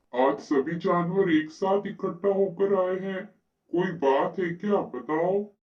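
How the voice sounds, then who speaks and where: A cartoonish character voice at a middle pitch. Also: moderate pace. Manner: authoritative, fatherly.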